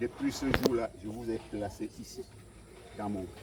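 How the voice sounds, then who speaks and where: A man talks at a very slow pace. Background noise is noticeable. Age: 60s. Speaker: evicted resident. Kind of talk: testimony. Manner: halting.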